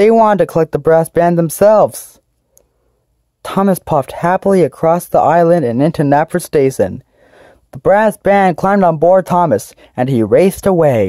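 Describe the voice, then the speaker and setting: The recording is very clean, and nothing sounds behind the voice. Delivery moves at a moderate speed. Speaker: voice actor recording narrator lines for a fan redub. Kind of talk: scripted storybook narration of a children's train story, read aloud with dramatic pacing. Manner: gentle, storybook-style narration that heightens suspense at the dramatic moments; clear, measured reading with pauses where the character dialogue was cut out.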